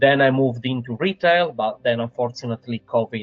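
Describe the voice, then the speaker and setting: Music plays in the background as a man speaks with an Italian accent. His pace is fairly quick, and his pitch varies in an ordinary way. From Italy. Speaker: sales professional. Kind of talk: interview. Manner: halting, many fillers.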